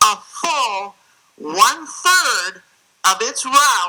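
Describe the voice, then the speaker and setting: A woman with an American accent speaks in a high pitch with lively intonation. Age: 60s. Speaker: state senator testifying as witness. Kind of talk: hearing testimony. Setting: regulatory hearing room.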